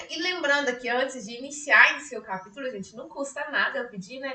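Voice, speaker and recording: In a high pitch with a bright, sharp tone, a woman talks at a fairly quick pace. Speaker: psychologist teaching a study group. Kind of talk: online lecture. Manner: speaking louder than usual; conversational, many fillers. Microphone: weak mic, voice coming out quiet.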